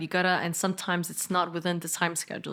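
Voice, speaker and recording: On a very clean recording with a silent background, a woman with a slight Danish accent speaks at a fairly quick pace and a fairly low pitch. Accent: slight Danish accent in fluent English. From Denmark. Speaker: politician and entrepreneur. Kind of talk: podcast interview. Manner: casual, animated storytelling with many fillers.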